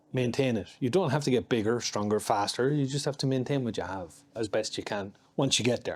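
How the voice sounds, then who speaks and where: A man's medium-pitched voice in an Irish accent, at a fairly quick pace with ordinary pitch variation, on a very clean recording with a silent background. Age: 50s. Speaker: martial artist and security contractor. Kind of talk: casual chat.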